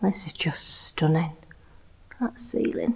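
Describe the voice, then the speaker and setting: This woman speaks in a whisper. She keeps a fairly slow pace. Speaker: travel vlogger. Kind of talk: casual vlog narration. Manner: whispering.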